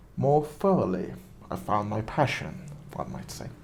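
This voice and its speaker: A man talks with a non-native accent. Room echo is audible. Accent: non-native English, weird pronunciations. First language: not English. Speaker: movie reviewer, vlogger. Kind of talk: casual monologue, film commentary. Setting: at home during quarantine.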